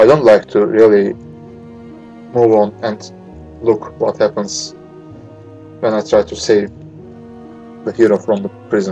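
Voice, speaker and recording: Over music in the background, a man with a non-native accent speaks at a fairly slow pace, his fairly low pitch showing ordinary variation. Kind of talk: game playthrough commentary. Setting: noisy home microphone. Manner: hesitant, many filler words.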